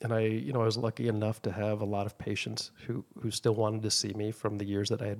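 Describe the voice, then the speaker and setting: Keeping fairly even intonation, a man talks at a very fast pace in a fairly low voice. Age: 50s. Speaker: aesthetic injector and clinic owner. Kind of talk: casual chat.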